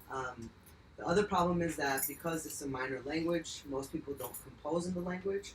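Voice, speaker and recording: A man speaks at a fairly quick pace in a fairly high pitch. His pitch varies an ordinary amount, with noticeable background noise. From Lebanon, Armenian community. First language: Western Armenian. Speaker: poet. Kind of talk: artist talk.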